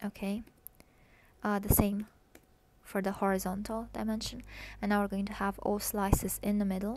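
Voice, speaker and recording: A woman at a medium pitch, flat and monotone, at a moderate pace with long, frequent pauses. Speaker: web developer and coding tutorial creator. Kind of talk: tutorial. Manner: hesitant, many fillers.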